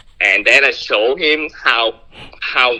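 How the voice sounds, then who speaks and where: This is a man speaking. He has a Vietnamese accent. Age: 20s. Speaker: caller. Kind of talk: phone conversation. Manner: halting.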